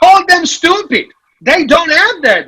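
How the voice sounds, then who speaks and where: A bright, sharp tone in a man's raised, projected voice. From Italy. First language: Italian. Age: 50s. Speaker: financial advisor. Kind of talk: conference talk. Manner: loud; animated.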